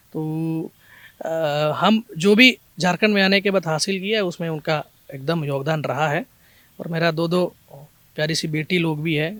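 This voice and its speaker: A man's high-pitched voice at a moderate pace, with ordinary pitch variation, long and frequent pauses, and a dry, close sound with no echo. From Kerala, India. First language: Malayalam (speaking Hindi). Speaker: police officer. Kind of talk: interview. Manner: halting, with fillers.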